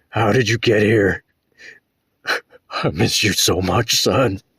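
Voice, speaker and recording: A man puts on a raspy character voice, fairly low in pitch with ordinary pitch variation and very even loudness. He goes at a fairly slow pace, and the sound is dry and close with no echo. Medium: read story.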